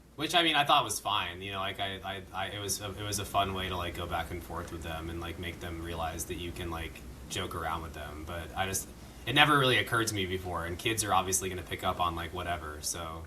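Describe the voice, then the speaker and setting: Amid audible room echo and noticeable background noise, a man speaks very fast in a very deep, low pitch with ordinary pitch variation. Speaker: podcast co-host, musician. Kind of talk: casual chat.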